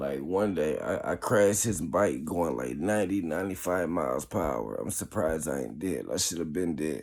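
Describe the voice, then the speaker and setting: With vocal fry and audible room echo, a man speaks in a very deep, low pitch. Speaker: vlogger. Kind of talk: casual monologue vlog. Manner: slow.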